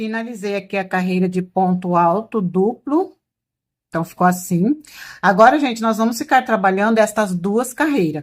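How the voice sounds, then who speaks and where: Here a woman speaks at medium pitch. Her pitch varies in an ordinary way. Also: moderate pace. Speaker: crochet instructor. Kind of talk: tutorial. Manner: loud, nearly shouting earlier in video; softer speaking now.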